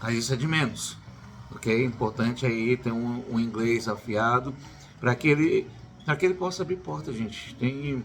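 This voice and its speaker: A man's voice is medium in pitch and varies in an ordinary way. He uses a normal speaking voice at a moderate speed. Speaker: YouTuber, educator. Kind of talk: casual vlog advice.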